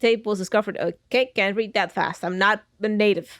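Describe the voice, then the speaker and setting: A woman with a fairly high pitch is heard in a very clean recording with a silent background. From Netherlands. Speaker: gaming youtuber. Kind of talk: let's play commentary. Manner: casual, joking.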